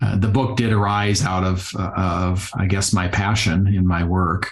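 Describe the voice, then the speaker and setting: Speaking fairly slowly with a slight Minnesota accent, a man keeps a fairly low pitch, fairly even intonation and very even loudness, with audible room echo around him. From Iowa, rural US Midwest. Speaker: physical therapist and yoga therapist. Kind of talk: podcast interview.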